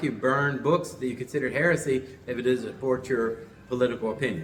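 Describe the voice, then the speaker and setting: A man's voice with ordinary pitch variation, audible room echo, and noticeable background noise. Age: 60s. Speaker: religious teacher and show host. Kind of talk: lecture. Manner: halting.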